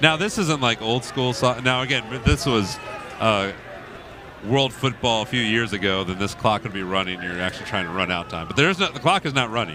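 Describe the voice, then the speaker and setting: With an American accent, a man at a medium pitch talks at a fairly quick pace with lively intonation over noticeable background noise. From Indiana. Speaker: soccer play-by-play commentator. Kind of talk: live commentary.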